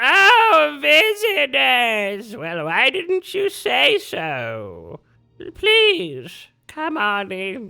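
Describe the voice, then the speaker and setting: A put-on character voice at a very slow pace, in a very clean recording with a silent background. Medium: actual play. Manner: mishears words, asks for repetition.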